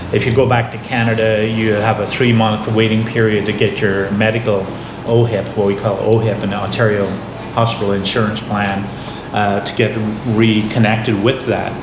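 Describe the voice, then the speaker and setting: A man's fairly low, monotone voice with flat intonation at a moderate pace, amid noticeable background noise and audible room echo. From Northern Ireland. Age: 60s. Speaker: expat interviewee. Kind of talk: casual interview.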